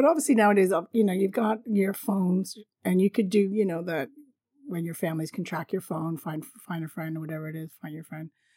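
Talking at a very fast pace, a woman of medium pitch uses a dark, mellow tone, with ordinary pitch variation and big swings in loudness. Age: 50s. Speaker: travel podcaster. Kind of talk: solo storytelling monologue. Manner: casual, frequent laughter.

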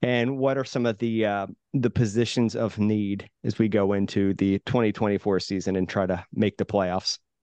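A man speaks in a plain, everyday voice at a fairly low pitch and a moderate pace, with fairly even intonation and very even loudness, recorded dry and close with no echo over a quiet background. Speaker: podcast host. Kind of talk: casual chat.

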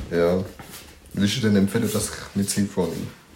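A fairly low-pitched man with ordinary pitch variation, noticeable background noise behind him. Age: 20s. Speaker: podcast co-host. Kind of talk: casual chat. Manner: laughing a lot.

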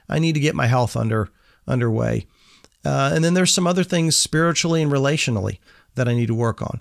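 On a very clean recording with a silent background, a man at medium pitch speaks very fast with lively intonation and very even loudness. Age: 60s. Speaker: podcast host for young men. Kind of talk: casual monologue.

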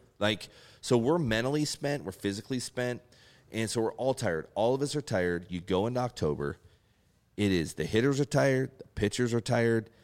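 In a very clean recording with a silent background, a man with a plain, everyday voice talks at a fairly quick pace with lively intonation. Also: medium pitch for a man. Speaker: retired baseball pitcher. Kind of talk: casual chat.

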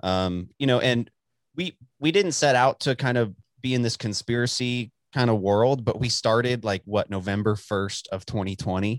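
On a very clean recording with a silent background, a man with a Texan accent speaks at a medium pitch and moderate pace, the sound dry and close with no echo. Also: ordinary pitch variation. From Texas, Dallas. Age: 20s. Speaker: podcast host. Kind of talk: casual chat.

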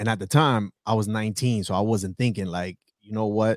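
Dry, close sound with no echo on a very clean recording, silent background, and a man at fairly low pitch with fairly even intonation. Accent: New York. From New York City (South Bronx). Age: 30s. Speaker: entrepreneur and former Marine. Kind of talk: casual interview.

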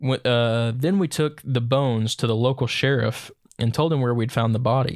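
A man with a plain, everyday voice speaks at a medium pitch and a fairly quick pace. His intonation is fairly even, on a very clean recording with a silent background. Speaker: podcast host. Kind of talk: ghost story reading aloud.

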